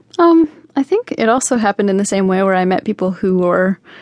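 A woman's ordinary speaking voice at medium pitch, fairly quick in pace, with a dry, close sound and no echo. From Canada. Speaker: singer. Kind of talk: radio interview.

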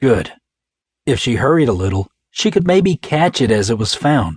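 Against a quiet background, a man speaks in a somewhat breathy voice with a dramatic tone. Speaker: audiobook narrator. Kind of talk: dramatic audiobook narration of a crime thriller, voicing characters. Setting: studio. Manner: dramatic, suspenseful, shifts between characters' voices; dry, clipped tone for the tough FBI agent; gruff for the detectives.

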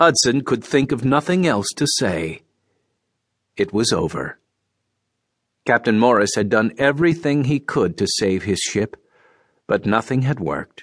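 Speaking at a fairly slow pace with long, frequent pauses, a man with a medium pitch uses lively intonation against a quiet background. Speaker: audiobook narrator. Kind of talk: audiobook narration. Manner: dramatic, suspenseful storytelling; steady, measured narration with raised intensity in quoted shouts.

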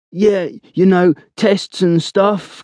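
A man uses a put-on character voice with a high pitch. It is raspy, with monotone, flat intonation. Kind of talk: sarcastic, dismissive. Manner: mocking imitation.

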